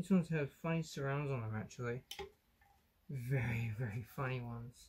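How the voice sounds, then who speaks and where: The speaker talks quietly at a moderate pace. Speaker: electronics hobbyist video maker. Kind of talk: tutorial. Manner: casual.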